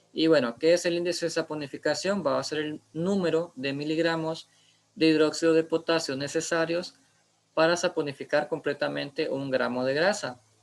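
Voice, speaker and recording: A fairly high-pitched man at a moderate pace with fairly even intonation. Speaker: biochemistry instructor. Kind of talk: lecture. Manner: halting, many fillers.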